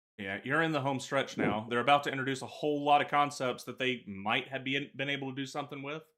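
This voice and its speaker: Very fast and with hardly any pauses, a man talks with an American accent. His fairly high voice keeps a fairly even intonation. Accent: Southern US, comes out at times. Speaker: gaming podcast co-host. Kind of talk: casual chat.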